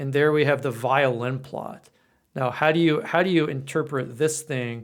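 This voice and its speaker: A normal speaking voice, moderate in pace and fairly even in intonation, comes through on a very clean recording with a silent background. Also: man, fairly high pitch for a man. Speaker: coding instructor and author. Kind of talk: tutorial. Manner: casual, with fillers.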